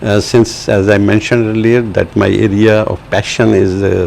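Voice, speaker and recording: There is noticeable background noise behind a man speaking at a moderate pace. His pitch is fairly low and his intonation fairly even. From Pakistan. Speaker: translator and writer. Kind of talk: interview. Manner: halting, many fillers.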